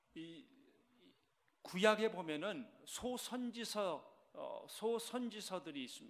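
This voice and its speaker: This man's voice sits high in pitch, with ordinary pitch variation, and he speaks at a very slow pace. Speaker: senior pastor. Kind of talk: sermon. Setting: church service.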